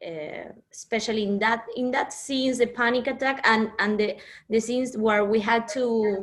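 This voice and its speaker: A woman speaks at a fairly high pitch with a Spanish accent. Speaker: actress. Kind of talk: interview. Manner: halting.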